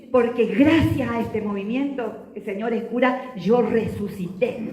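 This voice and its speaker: A woman speaks fairly slowly in a fairly high voice with an animated tone. Noticeable background noise and audible room echo fill the recording. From Argentina, Chaco. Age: 70s. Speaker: lay movement leader and teacher. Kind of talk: religious talk to an audience.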